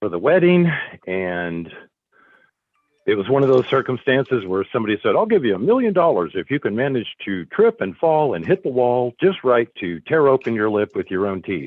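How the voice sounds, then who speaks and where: Very wide pitch swings run through this moderately paced speech, with music in the background. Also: man, medium pitch for a man. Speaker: school board chair. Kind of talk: board meeting. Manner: halting.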